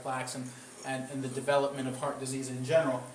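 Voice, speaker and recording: A man's fairly high voice, with audible room echo and noticeable background noise. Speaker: cardiologist giving a public health talk. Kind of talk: lecture. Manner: loud. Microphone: speaking without the microphone.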